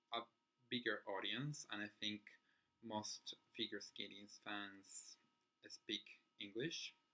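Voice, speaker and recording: A man talks with a Spanish accent at a fairly low pitch. His tone is bright and sharp. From Chile. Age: 20s. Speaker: figure skating vlogger. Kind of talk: casual chat. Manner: halting.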